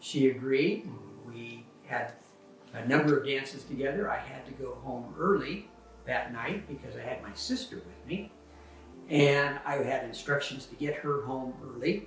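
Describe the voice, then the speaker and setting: An American accent with big swings in loudness, audible room echo, and music in the background. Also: man, fairly high pitch for a man, ordinary pitch variation, fairly slow pace. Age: 70s. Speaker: husband telling family history. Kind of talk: casual personal storytelling. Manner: relaxed, many fillers.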